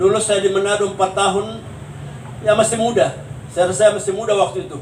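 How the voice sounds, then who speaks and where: A man talks at a very fast pace in a high pitch, with audible room echo and noticeable background noise. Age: 70s. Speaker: pastor. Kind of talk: sermon. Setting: funeral consolation service.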